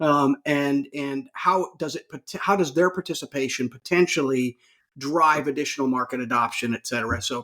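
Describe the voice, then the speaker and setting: A bright, sharp tone in a dry, close sound with no echo. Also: man. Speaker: podcast host, health officer. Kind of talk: casual interview. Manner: fast.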